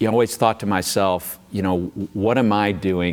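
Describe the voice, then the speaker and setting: His pace runs fairly quick. The man keeps his intonation fairly even. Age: 60s. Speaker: college athletics director. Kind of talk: interview.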